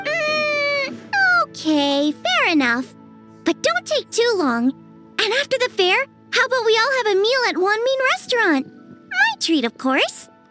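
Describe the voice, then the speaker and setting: A put-on character voice at an extremely high pitch swings very widely in pitch at a fairly slow pace, with clear music in the background. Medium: game stream.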